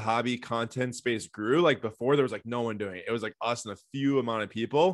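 With a plain, everyday voice, a man talks at a fairly quick pace and medium pitch, his intonation fairly even over a quiet background. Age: 20s. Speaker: founder of a sports card news outlet. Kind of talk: casual interview.

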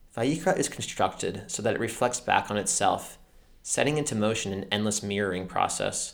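Delivered at a fairly quick pace, a man's normal speaking voice sits fairly low in pitch, with ordinary pitch variation and an American accent. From United States. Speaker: podcast host, literature and Torah commentator. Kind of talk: scripted narration. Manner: formal.

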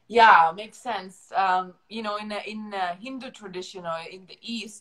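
At a very slow pace, a woman talks at a medium pitch with ordinary pitch variation. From Ukraine. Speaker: podcast host. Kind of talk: interview. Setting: video call.

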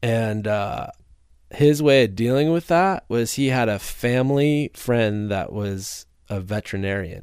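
A plain, everyday voice with an American accent speaks at a fairly slow pace with lively intonation on a very clean recording with a silent background. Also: man, medium pitch for a man. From US Midwest, northern Illinois (Rockford). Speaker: motorcycle photographer. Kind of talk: casual chat.

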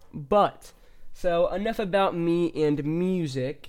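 Ordinary pitch variation with a Midwestern American accent, on a very clean recording with a silent background. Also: man. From US Midwest, central Illinois. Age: young. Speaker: podcast host, musician. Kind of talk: casual monologue. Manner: hesitant, filler-heavy.

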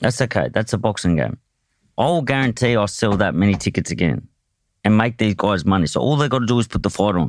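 With an Australian accent and vocal fry, a man races at a very fast pace with lively intonation, very even loudness and a fairly low pitch, in a very clean recording with a silent background. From Australia (Tasmania, Hobart). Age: 30s. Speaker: professional boxer. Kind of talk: casual interview.

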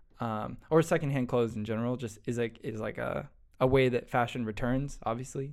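An unremarkable speaking voice from a man at medium pitch, with ordinary pitch variation, a moderate pace and a very clean recording over a silent background. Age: young. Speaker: podcast host. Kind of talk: casual chat.

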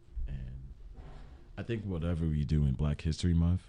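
Dark, mellow tone from a man, fairly quick in pace and with ordinary pitch variation. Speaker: student podcast co-host. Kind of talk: casual chat.

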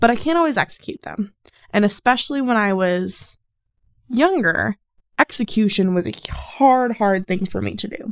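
In a dry, close sound with no echo, a woman uses an ordinary speaking voice at a medium pitch with lively intonation. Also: moderate pace. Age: 20s. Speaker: solo podcaster. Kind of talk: casual monologue.

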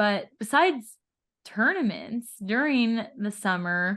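A woman speaks in a Californian accent. Her pitch sits in the medium range. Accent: General American, Californian. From Southern California. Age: 20s. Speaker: podcast host and pro pickleball player. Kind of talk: casual chat; scripted narration.

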